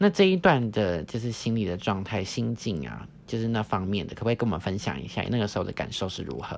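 Barely pausing, a man talks at a very fast pace with a fairly low pitch and lively intonation. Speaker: podcast host, former exchange student. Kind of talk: casual interview chat.

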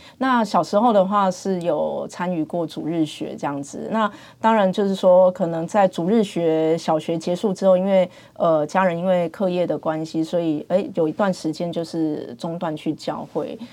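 A woman's fairly low, dark, mellow voice at a moderate pace, with ordinary pitch variation, hardly any pauses and a quiet background. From Taiwan, Pingtung. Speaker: dentist, hospital department head. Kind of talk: interview, faith testimony. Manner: hesitant, many fillers.

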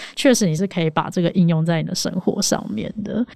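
At a fairly quick pace, a woman with a medium pitch and dark, mellow tone speaks with ordinary pitch variation. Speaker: podcast co-host, debater. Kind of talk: casual chat.

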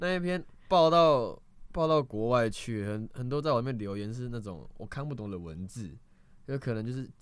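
On a very clean recording with a silent background, a man with a medium-pitched voice talks at a fairly quick pace with lively intonation. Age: 20s. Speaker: street performer and acrobat. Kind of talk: casual chat.

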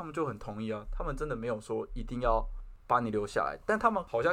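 Very fast speech from a man carries lively intonation. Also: quiet background. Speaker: podcast host. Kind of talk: casual chat. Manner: formal, speech-like delivery.

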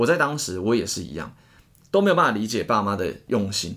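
A man talks at a very fast pace in a bright, sharp tone. His pitch swings very widely. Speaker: tutoring teacher and podcast co-host. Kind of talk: casual chat.

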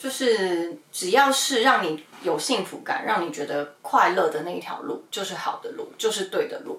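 The speaker moves at a moderate pace with very wide pitch swings and big swings in loudness. Noticeable background noise runs underneath. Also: woman, medium pitch for a woman. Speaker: podcast host, former wedding host. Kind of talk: casual chat. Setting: Instagram livestream.

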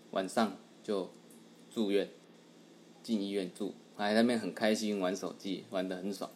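Speech comes at a moderate pace with long, frequent pauses. The intonation stays flat and monotone. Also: man, fairly low pitch for a man. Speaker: podcast co-host. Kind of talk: casual chat.

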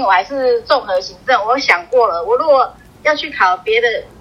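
Over noticeable background noise, a woman talks at a fairly quick pace in a high pitch with very wide pitch swings. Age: 40s. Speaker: civil servant. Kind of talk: interview.

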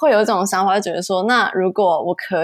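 A normal speaking voice from a woman, medium pitch, ordinary pitch variation, moderate pace. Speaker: motion graphics designer. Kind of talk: interview.

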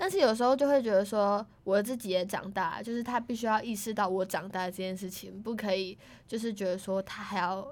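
A woman with an unremarkable speaking voice talks at a fairly quick pace in a medium pitch, her intonation fairly even and her speech carrying hardly any pauses. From Taiwan, Tainan. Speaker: university student. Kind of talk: casual chat.

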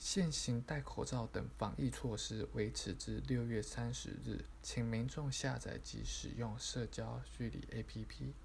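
The speech moves at a very slow pace with hardly any pauses. There is audible room echo. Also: man. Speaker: podcast narrator. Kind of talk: reading aloud.

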